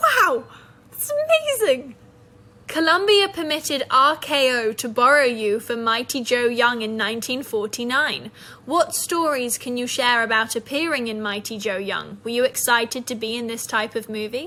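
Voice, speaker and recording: A woman's high-pitched voice with a British accent, at a moderate pace, over noticeable background noise. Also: ordinary pitch variation. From Britain. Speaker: actress. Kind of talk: interview questions.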